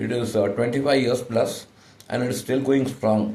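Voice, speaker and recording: Somewhat breathy, a man speaks at a moderate pace with audible room echo. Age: 60s. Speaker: insurance agent. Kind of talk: sales pitch. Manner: halting, many fillers.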